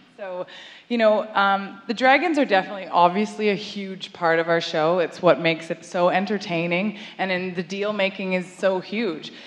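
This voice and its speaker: Noticeable background noise sits behind a woman of medium pitch. She talks at a moderate pace with ordinary pitch variation. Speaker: TV show producer promoting the show. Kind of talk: welcome speech at live event. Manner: loud.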